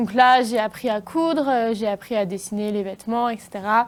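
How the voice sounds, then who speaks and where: With ordinary pitch variation, a woman talks in a fairly high pitch at a moderate pace. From western France, Niort area. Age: 20s. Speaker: fashion designer. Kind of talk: interview. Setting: TV studio. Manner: hesitant, many fillers.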